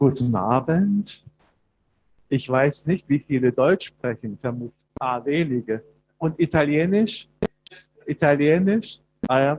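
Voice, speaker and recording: With a German accent, a man at a fairly high pitch talks at a fairly slow pace, leaving long, frequent pauses, in a dry, close sound with no echo. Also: lively intonation. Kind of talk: prepared speech. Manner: halting.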